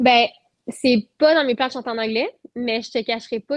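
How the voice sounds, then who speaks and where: With a Quebec accent, a woman talks in a high pitch and fairly even intonation. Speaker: singer-songwriter. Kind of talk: casual interview chat.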